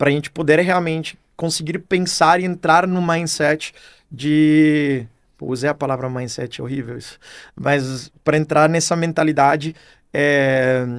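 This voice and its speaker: The voice keeps a fairly even intonation but swings a lot in loudness, on a very clean recording with a silent background. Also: man, fairly high pitch for a man. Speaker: marketing executive. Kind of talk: podcast interview. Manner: hesitant, many fillers.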